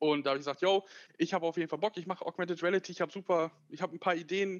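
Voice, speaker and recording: This voice belongs to a man. He keeps his intonation fairly even. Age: 20s. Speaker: tech startup founder. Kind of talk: interview. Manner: hesitant, many fillers.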